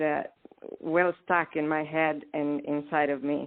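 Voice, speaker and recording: Delivered at a fairly slow pace, the speech comes with a Romanian accent. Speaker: poet. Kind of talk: interview. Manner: halting.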